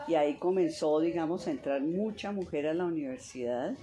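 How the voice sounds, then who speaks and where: A woman with a fairly low pitch speaks at a moderate pace with ordinary pitch variation over noticeable background noise. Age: 70s. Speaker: mathematician and professor. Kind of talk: interview.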